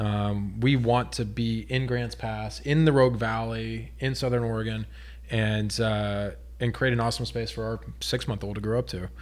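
Audible room echo fills the space. In an American accent, a man talks at a moderate pace. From Texas. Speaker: brewery owner and army veteran. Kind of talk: casual chat.

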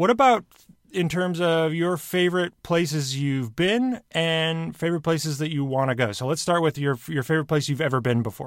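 In a very clean recording with a silent background, a man uses a normal speaking voice, fairly high in pitch, with lively intonation at a moderate pace. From Michigan, US Midwest. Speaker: podcast host. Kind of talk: interview.

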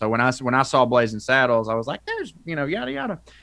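A man's medium-pitched voice in a rural Southern US accent, very fast and with a bright, sharp tone. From North Georgia, US South. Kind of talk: casual chat.

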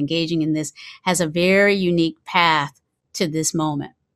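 A woman with a normal speaking voice talks at a moderate pace in a fairly low pitch, on a very clean recording with a silent background. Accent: American. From US South, eastern North Carolina. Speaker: mindfulness teacher. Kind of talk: lecture.

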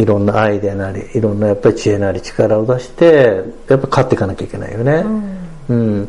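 A man talks very fast at a fairly low pitch with ordinary pitch variation. His loudness swings widely, and there is noticeable background noise. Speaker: clothing business owner. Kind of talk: casual interview.

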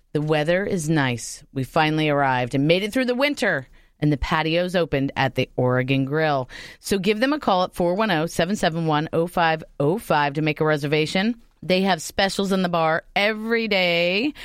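A woman with a fairly low voice speaks fairly quickly in an animated tone with lively intonation. Her loudness stays very even. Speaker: radio host. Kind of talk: casual chat. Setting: studio.

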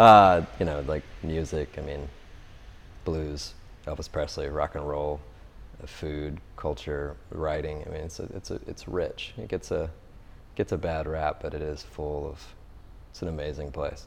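Very deep and low in pitch, a man speaks at a fairly slow pace with fairly even intonation and long, frequent pauses. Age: 30s. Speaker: artist. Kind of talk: casual interview. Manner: hesitant, many fillers.

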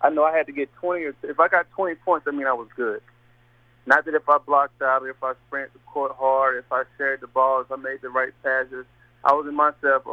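With an American accent, a man talks at a fairly quick pace in a plain, everyday voice, pitched fairly high, with fairly even intonation. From Indiana. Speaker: assistant basketball coach. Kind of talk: radio interview.

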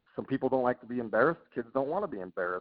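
A man's voice sits at a medium pitch in an American accent. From Utah, US. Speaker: college baseball head coach. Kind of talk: casual interview.

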